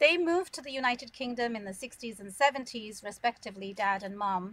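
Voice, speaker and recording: A woman with a British accent talks very fast in a fairly high pitch, her intonation lively and her loudness swinging widely. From London, England. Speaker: immigration lawyer. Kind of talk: interview.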